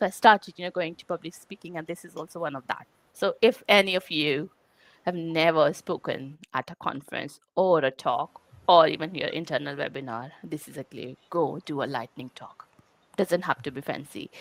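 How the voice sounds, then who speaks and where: A woman with an Indian accent speaks at a moderate pace and fairly low pitch, with ordinary pitch variation and big swings in loudness. The sound is dry and close with no echo, on a very clean recording with a silent background. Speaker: quality engineering leader. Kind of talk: conference talk. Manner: halting, many fillers.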